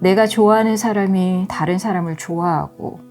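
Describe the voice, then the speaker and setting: There is music behind the speaker. She is a woman talking at a moderate pace. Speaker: author reading her own essay audiobook. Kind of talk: audiobook essay reading with commentary, ASMR-style relaxing narration.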